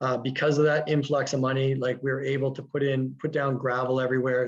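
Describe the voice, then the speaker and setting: Speaking in a monotone with flat intonation, a man holds a medium pitch. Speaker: teacher running a school garden. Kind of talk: webinar presentation. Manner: fast.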